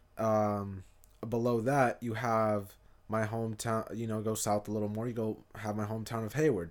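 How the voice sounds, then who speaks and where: Monotone and flat in intonation, a man speaks at medium pitch and a moderate pace. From US West Coast, East Bay California. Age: 20s. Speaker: podcaster. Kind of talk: solo monologue. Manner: passionate.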